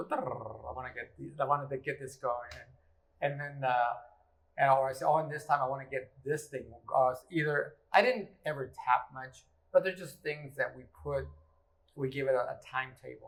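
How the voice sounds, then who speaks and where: With an American accent, a man speaks at a moderate pace in a fairly high, somewhat breathy voice, his intonation fairly even but his loudness swinging widely. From Texas. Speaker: musician and interviewer. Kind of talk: casual interview. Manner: halting.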